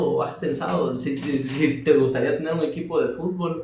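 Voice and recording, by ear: In a room with strong echo, a soft-spoken man talks at a fairly quick pace, his fairly high pitch and slightly mellow tone moving with ordinary variation.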